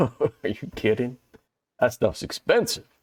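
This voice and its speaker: Putting on a character voice, a man drawls at a moderate pace with a medium pitch. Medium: actual play. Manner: slow, drawling.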